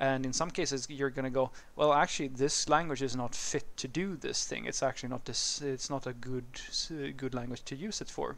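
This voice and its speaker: A man with a Swedish accent, fairly quick pace and fairly even intonation. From Sweden. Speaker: programming educator / YouTuber. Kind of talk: casual educational talk answering a viewer question. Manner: conversational, with some hesitations and fillers. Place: street.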